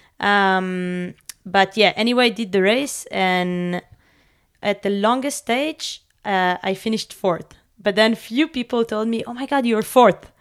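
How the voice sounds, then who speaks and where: A woman's unremarkable speaking voice, fairly high in pitch, with ordinary pitch variation at a fairly slow pace, in a very clean recording with a silent background. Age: 30s. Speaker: professional mountain bike racer. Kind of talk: casual interview chat.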